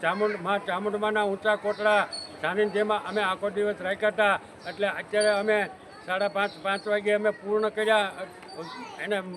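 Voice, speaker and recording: Over noticeable background noise, a man with a high pitch speaks in a flat monotone at a very even loudness. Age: 70s. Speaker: farmers' union leader and activist. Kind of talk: protest statement to press. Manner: forceful, agitated.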